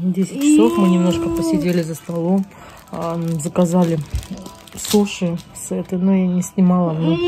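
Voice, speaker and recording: A woman speaks with a fairly low pitch. Music is clearly audible behind her. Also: ordinary pitch variation, moderate pace. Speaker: vlogger. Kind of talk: casual vlog chat. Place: home room. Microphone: phone near.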